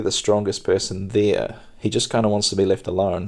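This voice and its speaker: Very fast speech comes from a man with a fairly low pitch and a dark, mellow tone. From New Zealand. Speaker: podcast host and stand-up comedian. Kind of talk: casual podcast monologue, chatty. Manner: soft-spoken, relaxed.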